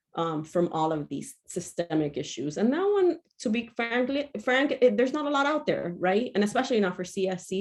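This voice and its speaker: A woman's normal speaking voice, at a moderate pace with lively intonation, over a quiet background. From Miami, Florida (Cuban-American). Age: 40s. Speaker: mental health trainer. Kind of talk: lecture.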